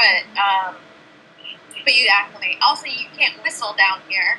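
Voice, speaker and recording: The voice moves in very wide pitch swings at a moderate pace, with noticeable background noise. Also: woman. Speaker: aquanaut marine science researcher. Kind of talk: interview. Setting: video call from underwater habitat.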